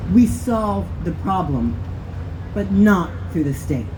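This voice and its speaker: Over noticeable background noise and audible room echo, a woman with an American accent speaks with very wide pitch swings. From Texas. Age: 40s. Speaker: activist. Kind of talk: rally speech.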